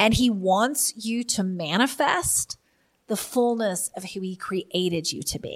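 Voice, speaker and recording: Somewhat breathy, a woman speaks at a fairly slow pace with a fairly high pitch. Her intonation is lively, and her loudness swings widely. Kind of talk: opening prayer then preaching-style teaching monologue. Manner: fervent, earnest, impassioned prayer, yielding and expectant; conversational, earnest, teaching.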